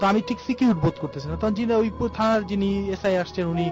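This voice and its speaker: A man's voice with music in the background. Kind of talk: conversational story retelling of a ghost incident. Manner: narrating, mixing in reported dialogue.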